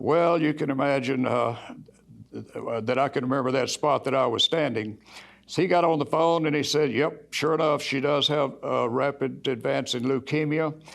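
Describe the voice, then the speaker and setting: This man has an unremarkable speaking voice, fairly high in pitch, at a moderate pace. His loudness stays very even and his intonation fairly even. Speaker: Alcoholics Anonymous group leader. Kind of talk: personal testimony to church congregation.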